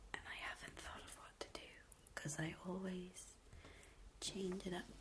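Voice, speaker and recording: Whispering at a moderate pace, the speaker has an American accent. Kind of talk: ASMR soft-spoken chat. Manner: soft-spoken.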